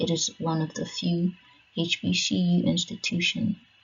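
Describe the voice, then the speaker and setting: Noticeable noise sits in the background. Over it, a woman talks fairly slowly. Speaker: education channel host. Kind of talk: slideshow presentation narration. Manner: subdued, not very enthusiastic.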